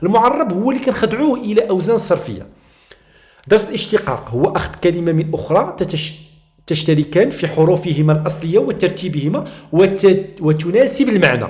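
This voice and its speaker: At a moderate pace, a man with a Moroccan accent talks in a high pitch. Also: lively intonation. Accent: Moroccan Arabic (Darija). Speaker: teacher. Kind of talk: tutorial. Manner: halting.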